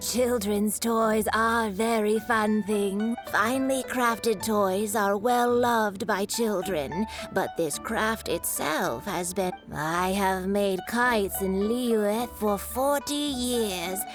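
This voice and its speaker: Against loud music, a woman in a put-on character voice speaks very slowly at a medium pitch, with hardly any pauses and very even loudness. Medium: video game. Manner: plain-spoken, proud of craft.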